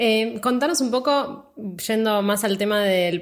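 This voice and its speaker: Noticeable background noise sits behind a woman with a Rioplatense accent. Her voice is fairly high, with ordinary pitch variation. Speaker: podcast host. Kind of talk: interview. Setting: studio.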